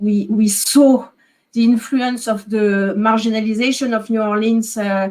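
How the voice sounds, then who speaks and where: Speaking in a French accent, a woman uses a medium pitch. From France. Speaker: historian. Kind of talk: academic panel discussion. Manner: hesitant, many fillers.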